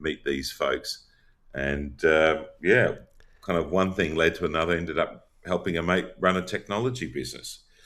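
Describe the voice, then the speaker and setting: Vocal fry marks this man's voice, pitched very deep and low. He speaks with an Australian accent. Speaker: company founder and CEO. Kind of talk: interview.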